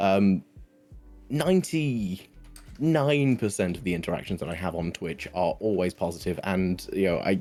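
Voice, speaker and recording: With music playing behind him, a man talks at a very deep, low pitch. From British. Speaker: streamer. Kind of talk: interview answer.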